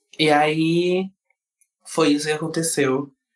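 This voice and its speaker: A man is speaking. His pace is very slow. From southern Brazil, Rio Grande do Sul (Alvorada, Porto Alegre area). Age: 20s. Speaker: dancer. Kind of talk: casual interview chat. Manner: animated.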